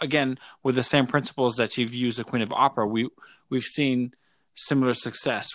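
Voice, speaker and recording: A man at a medium pitch in a very clean recording with a silent background. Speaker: interviewer and business partner. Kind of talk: casual interview chat. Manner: halting.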